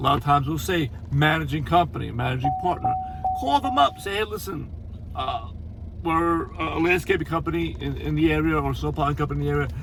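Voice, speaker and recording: There is noticeable background noise. The speech moves at a very fast pace. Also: man. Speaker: landscaping business owner. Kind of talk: casual tutorial. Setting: on the road, stopped at a store. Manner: hesitant, many fillers and repeats.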